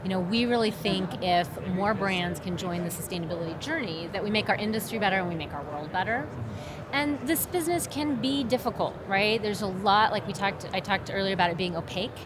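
Talking at a very fast pace with lively intonation, a woman with an American accent is heard over noticeable background noise and audible room echo. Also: medium pitch for a woman. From Oklahoma. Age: 50s. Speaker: apparel manufacturing executive. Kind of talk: casual trade show conversation.

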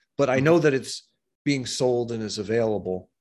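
Over a quiet background, a man with a normal speaking voice and an American accent talks at a medium pitch with ordinary pitch variation. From US, New York City. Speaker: esoteric author and diagram artist. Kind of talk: interview.

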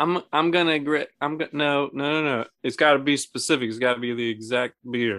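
A man with an unremarkable speaking voice talks at a fairly quick pace in a fairly high pitch with ordinary pitch variation. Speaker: podcast host. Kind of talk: casual chat, joking banter.

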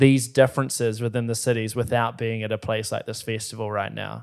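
Here a man with a New Zealand accent talks at a fairly quick pace. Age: 20s. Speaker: podcast host. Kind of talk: casual chat.

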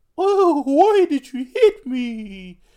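A put-on character voice, high-pitched, with very wide swings in pitch. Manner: indignant, complaining.

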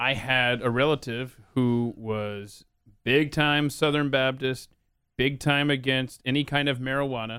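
With an American accent, a man talks at a fairly slow pace and a medium pitch, his intonation monotone and flat. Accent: none noticeable per guest. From Atlanta, US South. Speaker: podcast host and talk radio personality. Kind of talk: casual interview chat.

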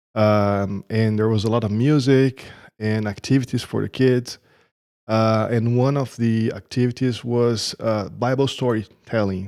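In a Portuguese accent, a man speaks at a medium pitch with a dark, mellow tone and fairly even intonation on a very clean recording with a silent background. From Brazil. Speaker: churchgoer sharing testimony. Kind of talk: testimony. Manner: halting.

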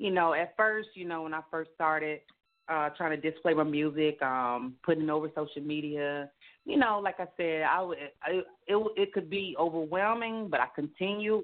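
Pitch varies in an ordinary way, and the delivery keeps a moderate pace. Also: woman.

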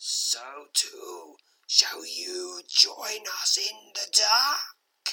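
In a put-on character voice, the speaker growls at an extremely high pitch and a very slow pace. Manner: ominous, wailing.

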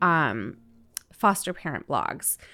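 In a very clean recording with a silent background, a woman speaks with a Southwest US accent. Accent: General American (Southwest US). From Arizona, Phoenix area. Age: 30s. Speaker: podcast host, foster and adoptive mother. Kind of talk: casual monologue. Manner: conversational with frequent fillers.

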